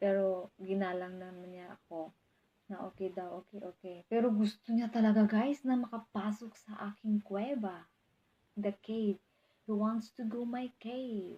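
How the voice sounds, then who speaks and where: Her tone is dark and mellow, and she is somewhat breathy. The woman keeps a medium pitch, fairly even intonation and a fairly slow pace. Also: big swings in loudness. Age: 20s. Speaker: vlogger. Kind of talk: casual vlog monologue.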